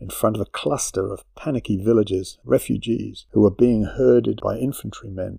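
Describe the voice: Ordinary pitch variation in a plain read-aloud delivery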